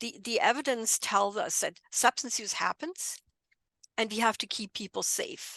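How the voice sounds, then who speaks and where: A woman with a German accent speaks at a fairly high pitch with ordinary pitch variation, in a dry, close sound with no echo. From Germany, near Frankfurt. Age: 60s. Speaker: bereaved mother and drug policy advocate. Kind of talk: podcast interview.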